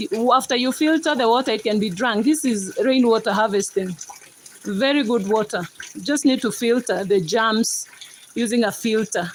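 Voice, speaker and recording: This woman speaks in a Kenyan accent. Noticeable background noise can be heard behind her. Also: fairly high pitch for a woman, ordinary pitch variation, moderate pace. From Kenya, Rift Valley. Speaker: livestreamer. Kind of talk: casual chat.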